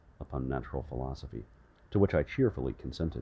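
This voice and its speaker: A man's voice, very deep and low in pitch, has a dark, mellow tone and vocal fry. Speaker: ASMR audiobook reader. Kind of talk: sleep story audiobook reading.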